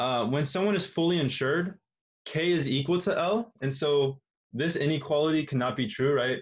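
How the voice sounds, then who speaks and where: This man's voice is somewhat breathy. His pitch varies in an ordinary way. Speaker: tutor. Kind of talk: tutorial. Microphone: webcam.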